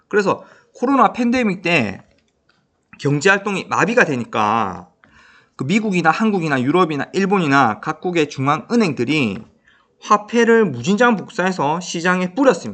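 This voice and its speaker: Over a quiet background, a man talks at a moderate pace. His pitch is high and swings very widely. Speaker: high school career counselor teacher. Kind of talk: educational talk to camera. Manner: conversational with frequent fillers.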